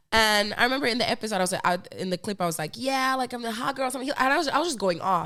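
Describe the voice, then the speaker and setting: Over noticeable background noise, a woman speaks at a high pitch in an animated tone. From Finland. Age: 20s. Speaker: podcast host. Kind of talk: casual interview chat.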